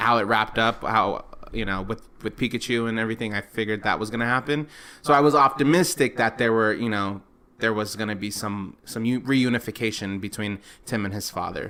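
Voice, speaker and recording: A man's medium-pitched, bright, sharp voice at a fairly quick pace with fairly even intonation. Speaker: film review podcast co-host. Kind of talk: casual film review chat. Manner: halting, stumbling over words.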